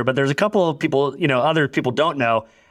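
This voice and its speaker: A man with an American accent talks in a fairly high pitch with ordinary pitch variation, recorded very cleanly against a silent background. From US, Orlando, Florida. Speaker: podcast host and tech company CEO. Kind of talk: casual interview conversation.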